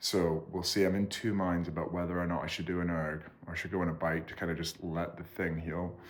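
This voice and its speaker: A man with a Scottish accent speaks at a moderate pace in a very deep, low voice, with audible echo from the room. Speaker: vlogger and rower. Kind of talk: casual vlog. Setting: at home.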